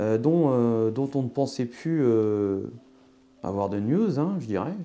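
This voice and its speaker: A man with a southern French accent talks at a very slow pace with lively intonation. His voice sits at a medium pitch and has a dark, mellow tone. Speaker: tarot card reader. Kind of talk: astrology tarot reading. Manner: halting, many fillers.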